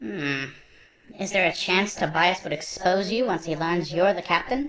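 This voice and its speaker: Using a put-on character voice, a woman talks at medium pitch and a fairly slow pace with lively intonation. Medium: audio drama. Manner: formal, proper.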